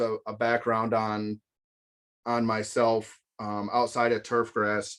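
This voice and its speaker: On a very clean recording with a silent background, a man speaks fairly slowly at a medium pitch, his tone bright and sharp. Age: 30s. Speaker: golf course owner. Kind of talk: presentation. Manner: halting, many fillers.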